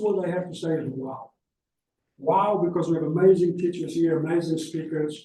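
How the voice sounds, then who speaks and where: With a high pitch for a man and a dark, mellow tone, he talks at a fairly quick pace. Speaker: academic conference speaker. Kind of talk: conference talk. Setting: conference hall with audience, microphone. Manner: fast.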